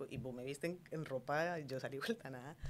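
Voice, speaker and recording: A woman speaks here. Her intonation is lively. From Colombia, Cali. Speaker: entrepreneur, food business owner; guest. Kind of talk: interview conversation. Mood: warm, animated, smiling. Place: studio. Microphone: studio mic.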